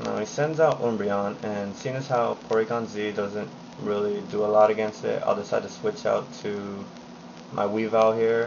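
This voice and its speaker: The voice is quiet, and there is noticeable background noise. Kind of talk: game commentary narration. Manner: quiet, low volume.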